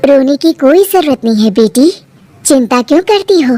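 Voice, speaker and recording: A woman performs a cartoonish character voice. Her pitch is high. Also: moderate pace. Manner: gentle, motherly.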